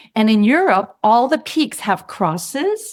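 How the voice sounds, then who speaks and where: A woman speaks in a normal speaking voice at a fairly slow pace on a very clean recording with a silent background. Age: 60s. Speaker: mountaineer. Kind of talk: interview storytelling.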